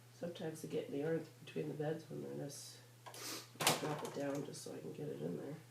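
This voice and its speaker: Noticeable background noise accompanies talking delivered at a fairly quick pace. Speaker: machine knitter. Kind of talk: tutorial talk. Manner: casual.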